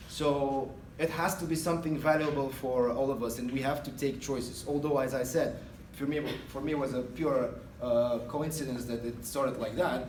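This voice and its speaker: A man with an Eastern European accent, fairly high in pitch, at a moderate pace with fairly even intonation and audible room echo. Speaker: guest speaker, retail manager. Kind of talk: guest lecture to a class. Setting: classroom. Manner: hesitant, many fillers.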